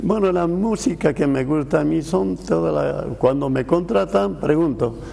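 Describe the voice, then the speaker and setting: A man with a fairly high pitch, very wide pitch swings and noticeable background noise. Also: fairly slow pace. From Bolivia. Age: 80s+. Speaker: veteran saxophonist. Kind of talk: TV interview.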